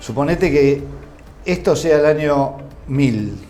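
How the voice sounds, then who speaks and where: A fairly high-pitched man in an Argentine accent, with music in the background and audible room echo. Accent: Rioplatense Argentine Spanish. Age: 70s. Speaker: businessman, agronomist. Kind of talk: interview. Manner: halting, with repetitions.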